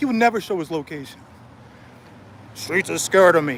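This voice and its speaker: A man speaks loudly. His pitch swings very widely. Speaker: street vlogger. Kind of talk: vlog rant. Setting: outdoors. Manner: animated.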